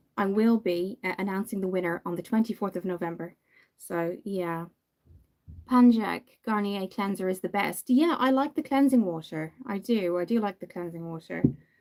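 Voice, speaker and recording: This woman has a medium pitch and ordinary pitch variation. She talks at a moderate pace. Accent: Irish. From Ireland. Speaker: makeup youtuber. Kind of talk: livestream makeup tutorial with chat. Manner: casual, hesitant with many fillers.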